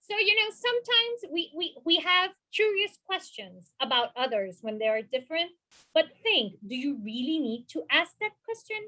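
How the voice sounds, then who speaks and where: Raising and projecting her voice, a woman with an extremely high pitch swings very widely in pitch at a moderate pace. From Puerto Rico. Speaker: mental health professional, panelist. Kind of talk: panel discussion.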